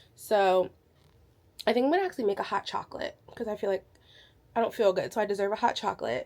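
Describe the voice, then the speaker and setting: A woman talks at a very fast pace with ordinary pitch variation. She leaves long, frequent pauses. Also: fairly high pitch for a woman. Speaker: book vlogger. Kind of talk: casual vlog talk.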